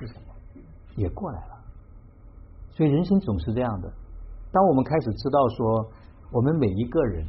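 A man with very wide pitch swings at a fairly quick pace. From Hubei, Xiangyang. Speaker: tea gathering host. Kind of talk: reflective talk.

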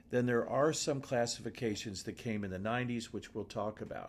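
A man is speaking. His pitch is medium. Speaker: podcast host. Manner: enthusiastic.

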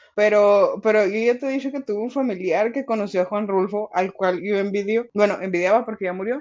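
A woman with a Mexican accent at medium pitch, fairly quick with hardly any pauses, over noticeable background noise. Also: ordinary pitch variation. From Mexico, rural ranch upbringing. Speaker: literature podcast co-host. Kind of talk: casual chat about a book.

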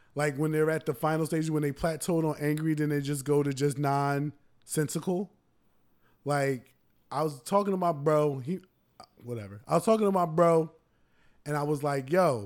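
At a moderate pace, a man with a plain, everyday voice and a fairly high pitch speaks with ordinary pitch variation on a very clean recording with a silent background. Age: 30s. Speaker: podcast co-host. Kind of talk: casual chat.

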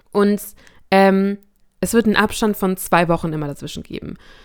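A woman with a normal speaking voice at a fairly quick pace in a very clean recording with a silent background. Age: 20s. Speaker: faith podcast host and student. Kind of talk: casual solo talk. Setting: alone in a room at home.

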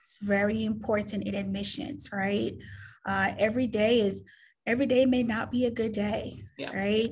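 The speaker talks at a moderate pace with vocal fry. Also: woman. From Caribbean. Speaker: admissions director. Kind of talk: interview. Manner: halting.

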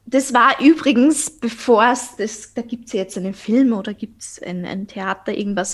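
Pitched fairly high, a woman's voice proceeds at a moderate speed. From Austria. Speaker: podcaster, eating disorder survivor. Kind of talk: interview guest, personal testimony.

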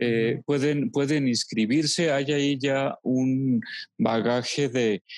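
At a very slow pace, a man with a medium pitch speaks in a very clean recording with a silent background, the sound dry and close with no echo. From Mexico, Los Altos de Jalisco. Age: 40s. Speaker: theologian and psychologist. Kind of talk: interview. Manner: halting.

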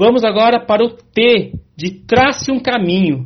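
A man with a São Paulo accent at a very slow pace. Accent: Brazilian Portuguese (São Paulo). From Brazil, São Paulo. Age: 40s. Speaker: leadership coach and motivational speaker. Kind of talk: interview.

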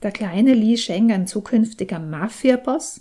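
This woman's voice is fairly high in pitch, with a dark, mellow tone. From Austria. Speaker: novelist. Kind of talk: reading aloud.

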